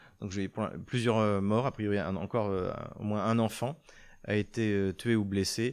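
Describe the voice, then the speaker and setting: A man talks fairly slowly at a fairly low pitch, with fairly even intonation and long, frequent pauses. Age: 50s. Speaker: geopolitics video host. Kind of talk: news commentary monologue. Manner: halting, frequent hesitations.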